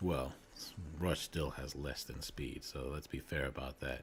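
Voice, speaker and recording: At a moderate pace, a man speaks with vocal fry and ordinary pitch variation. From New Zealand. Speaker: gaming streamer. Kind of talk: casual live stream chat. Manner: casual, conversational with fillers.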